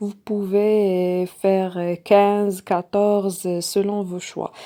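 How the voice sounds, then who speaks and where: Speaking with a non-native accent, a woman uses a dark, mellow tone at medium pitch, with fairly even intonation and a very slow pace. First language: not French (speaking French). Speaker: sewing tutorial creator. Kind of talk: tutorial. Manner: halting, many fillers.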